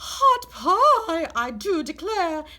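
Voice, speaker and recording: A woman uses a put-on character voice, squeaky and extremely high in pitch. Her pitch swings very widely. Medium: read story. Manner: genteel, old-fashioned.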